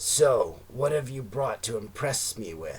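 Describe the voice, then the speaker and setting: This put-on character voice is raspy with lively intonation. It moves at a fairly slow pace. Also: man, medium pitch for a man. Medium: read story.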